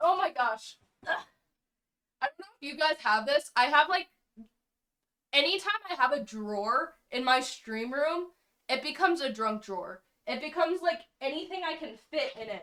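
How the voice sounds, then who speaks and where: A woman with a high pitch and a bright, sharp tone uses a raised, projected voice with lively intonation and big swings in loudness. She keeps a moderate pace and takes long, frequent pauses. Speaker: streamer. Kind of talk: casual chat.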